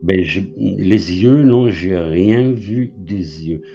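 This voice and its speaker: Very slow in pace, the speech has lively intonation against noticeable background noise. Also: man. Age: 60s. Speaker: caller sharing a paranormal sighting. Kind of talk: testimony. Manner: halting.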